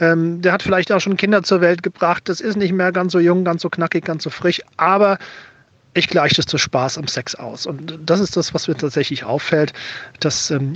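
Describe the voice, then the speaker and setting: High male voice with ordinary pitch variation. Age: 40s. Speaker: listener voice message. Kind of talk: testimony.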